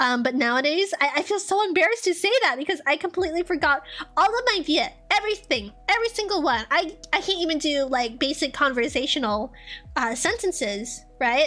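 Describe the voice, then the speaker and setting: Over music in the background, a woman with a high pitch speaks in a raised, projected voice with very wide pitch swings and very even loudness. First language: Vietnamese. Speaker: streamer. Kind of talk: casual chat. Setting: live stream.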